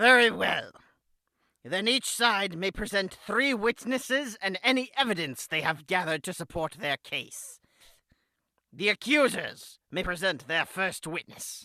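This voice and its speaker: The speaker puts on a character voice at a middle pitch. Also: moderate pace. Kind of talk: courtroom speech. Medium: audio drama. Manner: formal, stern.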